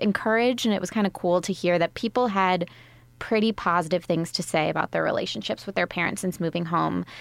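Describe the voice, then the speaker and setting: In a very clean recording with a silent background and a dry, close sound with no echo, an unremarkable speaking voice moves at a fairly quick pace with ordinary pitch variation. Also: woman. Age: 20s. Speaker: podcast host. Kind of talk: casual chat. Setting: studio.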